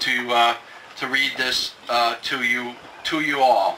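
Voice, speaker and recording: The intonation is monotone and flat, with light background noise behind it. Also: man. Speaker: event emcee. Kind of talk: ceremony speech, reading a letter. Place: open country. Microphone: podium.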